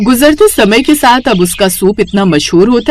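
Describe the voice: The woman's intonation is lively and her pace moderate.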